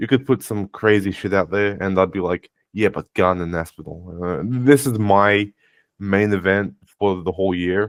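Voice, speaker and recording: In a dry, close sound with no echo and a very clean recording with a silent background, a man with an ordinary speaking voice talks at a moderate pace, his fairly low pitch showing ordinary variation. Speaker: combat sports commentator.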